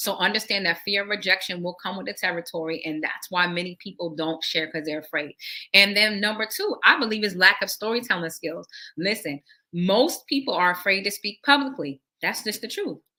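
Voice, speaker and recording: A woman with an American accent speaks at a fairly quick pace and a medium pitch. Her tone is bright and sharp, with ordinary pitch variation. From New York. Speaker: prophet and mentor of prophets. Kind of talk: live teaching session. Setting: livestream. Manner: fast.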